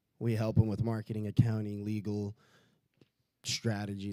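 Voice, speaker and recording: A man with a fairly low pitch and a dark, mellow tone talks at a moderate pace in a very clean recording with a silent background. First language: not English. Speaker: event emcee. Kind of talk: event announcements. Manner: casual, halting with fillers.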